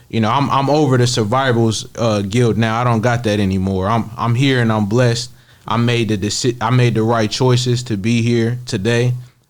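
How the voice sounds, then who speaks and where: A man talks at a moderate pace in a medium pitch, his intonation flat and monotone and his loudness very even. He barely pauses, and the room echoes audibly around him. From Kansas City, Missouri. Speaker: rapper. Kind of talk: interview.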